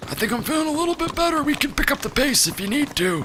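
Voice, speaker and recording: A put-on character voice rattles along at a very fast pace and a high pitch. Clear background noise can be heard. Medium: machinima. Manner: doddering, rambling.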